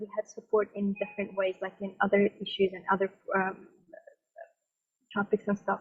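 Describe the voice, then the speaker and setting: This woman's voice sits at a fairly high pitch and moves at a moderate pace. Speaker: youth advisory group member. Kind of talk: panel discussion. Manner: halting.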